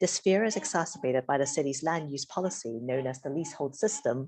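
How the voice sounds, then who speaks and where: Her voice very deep and low, a woman speaks at a very fast pace with lively intonation. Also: quiet background. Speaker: academic researcher. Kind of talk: academic presentation. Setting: video call.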